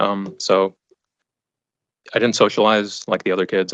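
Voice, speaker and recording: A man with a Western US accent speaks in a monotone, flat intonation. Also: dry, close sound with no echo. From Arizona, Phoenix area (raised from age two). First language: not English (Afghan family language). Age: 30s. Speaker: trial witness. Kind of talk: courtroom testimony. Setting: courtroom. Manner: halting, repeats words.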